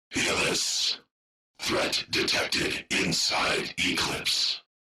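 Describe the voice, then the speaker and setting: A growling, put-on character voice at a very slow pace. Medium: video game. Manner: clipped, terse fragments.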